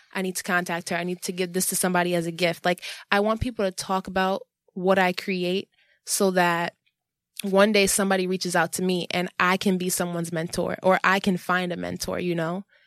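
With an American accent, a woman speaks fairly quickly in a monotone, flat intonation, captured in a very clean recording with a silent background and a dry, close sound with no echo. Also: medium pitch for a woman. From New York, Jamaica, Queens. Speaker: visual artist. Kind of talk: casual chat.

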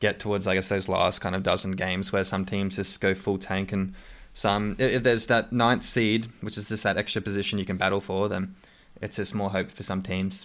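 On a very clean recording with a silent background, a man with an Australian accent talks at a fairly quick pace in a fairly low, monotone, flat voice. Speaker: podcast host. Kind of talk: casual chat about basketball.

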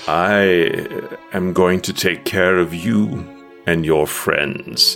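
A man speaks in a put-on character voice with a resonant sound, at a very slow pace. Music plays clearly behind him. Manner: calm, reassuring.

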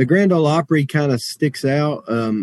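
Here a man speaks with a Southern Appalachian accent at a fairly high pitch. The sound is dry and close with no echo. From western North Carolina, Jackson County. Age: 30s. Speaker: bluegrass musician. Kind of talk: casual interview.

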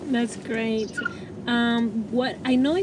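Noticeable background noise sits behind this woman. Her voice is fairly high-pitched with fairly even intonation. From immigrant to US. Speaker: podcast host. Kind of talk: interview; scripted intro.

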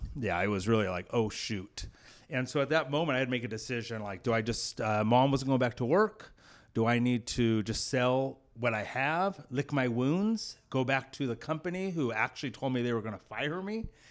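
Here a man with a medium pitch speaks at a moderate pace, his intonation lively. It is an ordinary speaking voice on a very clean recording with a silent background. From US West Coast, Clovis, California. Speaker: business owner and executive. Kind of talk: interview.

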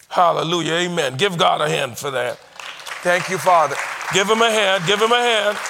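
Over crowd noise in the background, a raised, projected voice comes at a moderate pace with an animated tone and ordinary pitch variation. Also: man, high pitch for a man. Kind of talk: sermon, preacher in full flow with call-and-response cadence. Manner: animated, fervent, repeating phrases in rising rhythm, exhorting the congregation; conversational asides, rhetorical questions to the audience.

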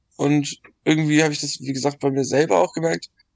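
A man talks at a moderate pace in a fairly high pitch, with a dry, close sound and no echo. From Dithmarschen, rural northern Germany. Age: 20s. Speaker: youth association board member, drug-aid worker. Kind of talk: casual chat.

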